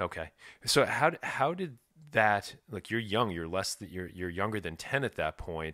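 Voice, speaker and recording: In an American accent, a bright, sharp voice with lively intonation moves at a fairly slow pace on a very clean recording with a silent background. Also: man, fairly low pitch for a man. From New York. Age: 40s. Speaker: podcast host. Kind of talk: casual chat.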